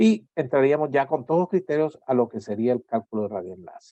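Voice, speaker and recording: Lively intonation marks this man's dark, mellow tone as he speaks at a moderate pace in a dry, close sound with no echo. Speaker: university lecturer. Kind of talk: lecture.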